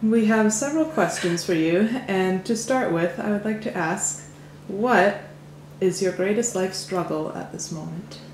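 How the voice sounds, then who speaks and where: Against noticeable background noise, a woman at medium pitch speaks at a fairly slow pace with ordinary pitch variation. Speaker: interviewer.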